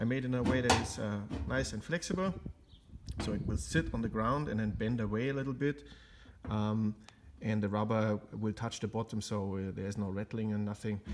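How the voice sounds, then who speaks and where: The man's pitch is fairly low and moves with ordinary variation. He talks at a fairly quick pace. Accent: German. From Germany. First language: German. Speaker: car restoration hobbyist. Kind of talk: tutorial. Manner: halting, many fillers.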